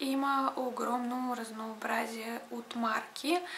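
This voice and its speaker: A woman's high voice comes through in a monotone, flat intonation over noticeable background noise. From Ukraine. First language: Russian (speaking Bulgarian). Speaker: beauty vlogger. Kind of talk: casual vlog talk to camera.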